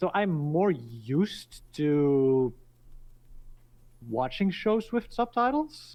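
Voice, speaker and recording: A very slow-paced man at a fairly high pitch, with very wide pitch swings and long, frequent pauses. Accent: Dutch. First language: Dutch. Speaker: podcast guest. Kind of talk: casual chat.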